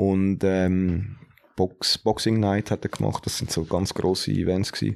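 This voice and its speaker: A man talks very slowly with a Zurich accent and a very deep, low pitch. His intonation is fairly even, and the recording is very clean with a silent background. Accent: Zurich Swiss German. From Zurich, Switzerland. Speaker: hip-hop DJ. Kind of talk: casual chat.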